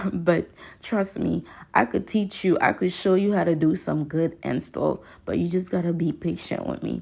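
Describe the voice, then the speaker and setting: A woman with a strong Haitian accent speaks at a moderate pace and a fairly low pitch, with vocal fry and ordinary pitch variation, against a quiet background. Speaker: hair stylist. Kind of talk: tutorial voiceover. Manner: casual, chatty.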